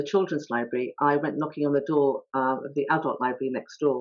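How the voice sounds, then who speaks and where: A woman speaks with a very deep, low voice. She goes at a very fast pace. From England, High Wycombe (born in India). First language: not English (Indian language). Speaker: author. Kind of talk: talk at online author event. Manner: hesitant, many fillers.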